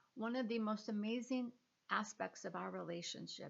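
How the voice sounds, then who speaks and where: A woman's normal speaking voice moves along at a moderate pace, its pitch varying in an ordinary way. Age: 60s. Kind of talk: personal testimony monologue.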